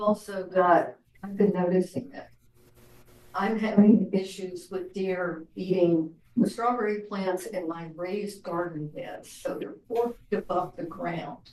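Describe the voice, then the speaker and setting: Quiet, fairly slow speech. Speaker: committee member. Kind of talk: committee meeting discussion. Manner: quiet, hard to hear.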